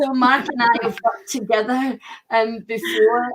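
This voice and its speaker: A woman with a Scottish accent speaks at a fairly high pitch with fairly even intonation. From Scotland. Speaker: book publisher. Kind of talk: panel introduction.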